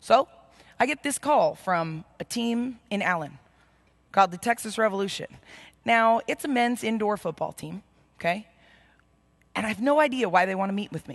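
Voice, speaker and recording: At a moderate pace, a woman speaks with big swings in loudness and long, frequent pauses against a quiet background. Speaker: keynote speaker. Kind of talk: motivational speech storytelling. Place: hall. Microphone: headset.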